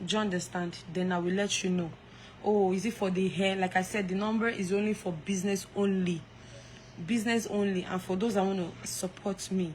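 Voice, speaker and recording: Monotone, flat intonation from a woman at medium pitch, fairly quick pace and very even loudness, with music in the background. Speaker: live streamer. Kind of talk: casual chat. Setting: live stream.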